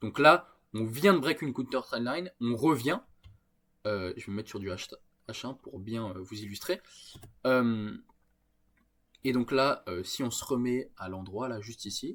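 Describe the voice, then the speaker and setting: The speaker goes at a fairly slow pace with lively intonation, big swings in loudness and long, frequent pauses. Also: man, medium pitch for a man. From France. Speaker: trading YouTuber. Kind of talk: screen-share tutorial. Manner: hesitant, many filler sounds.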